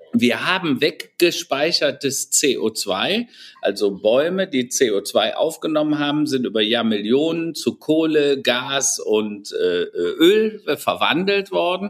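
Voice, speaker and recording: A man's fairly high voice with very wide pitch swings, very slow in pace yet with hardly any pauses. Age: 60s. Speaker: IT strategy consultant and author. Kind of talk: interview. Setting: video call.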